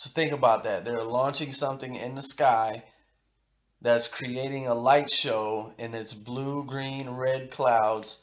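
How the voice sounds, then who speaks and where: Very slow speech from a man in a medium pitch. His intonation is monotone and flat. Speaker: conspiracy video creator. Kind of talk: commentary reading article aloud. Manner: halting, stuttering.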